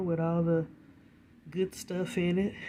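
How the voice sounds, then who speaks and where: Soft-spoken and fairly low in pitch, a woman talks with fairly even intonation. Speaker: home balcony gardener. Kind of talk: casual talk to camera. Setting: indoors recording, rain outside.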